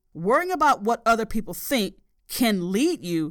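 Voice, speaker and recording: In a very clean recording with a silent background, a woman speaks at a moderate pace. Her fairly high pitch moves in very wide swings. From US South. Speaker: podcast host, life coach. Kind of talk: solo podcast monologue, self-help talk.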